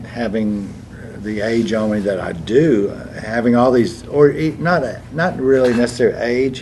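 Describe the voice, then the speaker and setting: Against noticeable background noise and audible room echo, the voice moves at a moderate pace with ordinary pitch variation. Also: man, medium pitch for a man. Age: 80s+. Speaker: stage actor. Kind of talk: casual chat.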